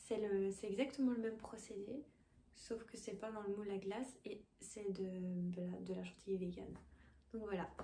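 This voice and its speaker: Against audible room echo, a woman talks at a moderate pace in a medium pitch, her tone dark and mellow, somewhat breathy, with fairly even intonation. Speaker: cooking youtuber. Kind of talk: casual cooking tutorial. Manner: hesitant, many fillers. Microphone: poor sound quality.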